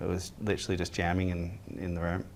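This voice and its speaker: Very deep and low in pitch, a man with an Australian accent speaks with monotone, flat intonation. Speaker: band member. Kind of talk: interview.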